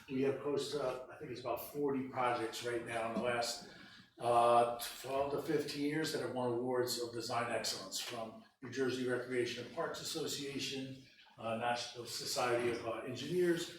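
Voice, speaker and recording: Noticeable background noise and audible room echo fill the recording. Through them, a man talks with fairly even intonation. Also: medium pitch for a man. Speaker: park planning consultant. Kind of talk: business presentation. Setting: council meeting room. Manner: fast.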